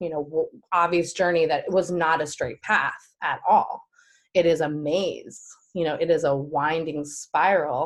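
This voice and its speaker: Speaking at a fairly slow pace, a woman has an unremarkable speaking voice. Her pitch is fairly low and her intonation fairly even. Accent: American. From New York. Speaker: performing artist and actress. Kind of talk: interview answer.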